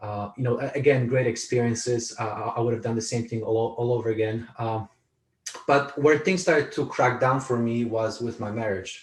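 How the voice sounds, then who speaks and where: With a Polish accent, a man speaks at a moderate pace and medium pitch, his intonation fairly even. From Poland, moved to California at 14. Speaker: author and speaker, army veteran. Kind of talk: interview conversation. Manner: repetitive, halting with frequent restarts.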